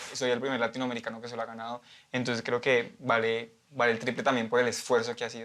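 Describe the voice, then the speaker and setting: A man in a Colombian accent at a fairly quick pace, over noticeable background noise. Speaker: artistic swimmer. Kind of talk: interview.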